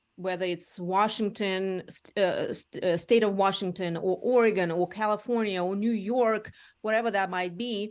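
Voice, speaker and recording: A woman speaks with a Russian accent and ordinary pitch variation. Her pace is moderate. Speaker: real estate agent. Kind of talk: interview. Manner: halting.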